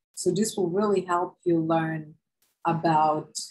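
Against a quiet background, a woman with a Serbian accent talks at a fairly slow pace, her fairly low pitch held in fairly even intonation. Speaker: university professor. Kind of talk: lecture. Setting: video lecture with screen share. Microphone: webcam.

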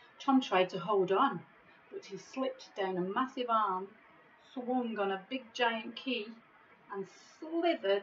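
Here the delivery is plain reading aloud.

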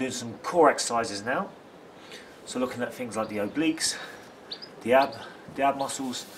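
Fairly quick speech from a man with ordinary pitch variation over light background noise. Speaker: football fitness coach. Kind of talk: tutorial. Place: street. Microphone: phone near.

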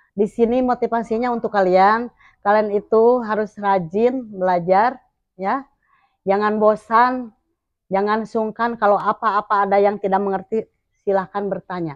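An unremarkable speaking voice from a woman, fairly high in pitch with fairly even intonation at a moderate pace, dry and close with no echo against a quiet background. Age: 60s. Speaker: schoolteacher. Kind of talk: interview answers and message to former pupils.

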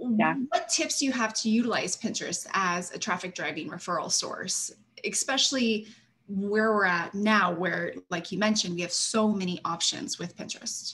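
A woman speaks at a moderate pace, her intonation lively. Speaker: webinar host. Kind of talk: webinar hosting. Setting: video call. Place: home room. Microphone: webcam.

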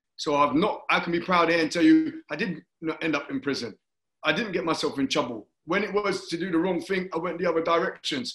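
In a London accent, the speaker talks at a fairly quick pace with lively intonation, with audible room echo over a quiet background. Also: man, high pitch for a man. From London, Hackney. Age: 50s. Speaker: talk show host, former Olympic athlete. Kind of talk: interview. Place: home room. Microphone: video call.

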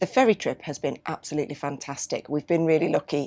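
A woman's very deep, low-pitched voice. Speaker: travel vlogger. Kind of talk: casual vlog chat. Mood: relaxed and cheerful. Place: boat.

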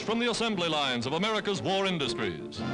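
Clear music sits in the background as the speaker talks at a moderate pace. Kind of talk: newsreel narration. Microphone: old recording.

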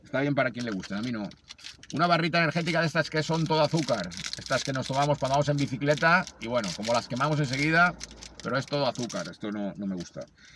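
A man with a fairly high pitch and lively intonation at a very fast pace, with noticeable background noise. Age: 40s. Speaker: amateur runner and video blogger. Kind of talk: vlog narration.

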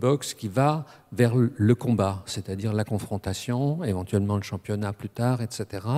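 Against a quiet background, a man speaks very slowly in a dark, mellow tone. His pitch varies an ordinary amount. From France, Strasbourg (Alsace); France. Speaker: academic speaker on boxing; speaker. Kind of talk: panel discussion. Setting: stage with audience. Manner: halting. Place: hall. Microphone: handheld.

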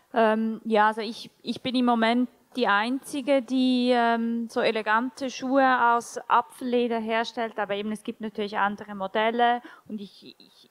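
A woman's fairly high voice at a fairly slow pace, in monotone, flat intonation. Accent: Swiss German. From Switzerland. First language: Swiss German (speaking German). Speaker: shoe company founder; panelist. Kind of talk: panel discussion. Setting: stage with audience. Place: hall. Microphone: handheld.

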